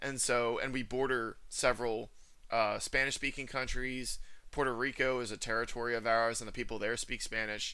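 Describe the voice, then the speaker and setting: His tone bright and sharp, a man speaks at a moderate pace in a monotone with flat intonation. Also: medium pitch for a man. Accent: New Jersey. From US Northeast, New Jersey. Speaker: channel host, men's rights activist. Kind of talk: casual conversation.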